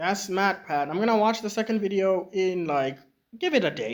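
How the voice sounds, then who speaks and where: A man speaks quietly in a high pitch at a moderate pace. His intonation is lively. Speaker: YouTube reactor. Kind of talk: casual chat.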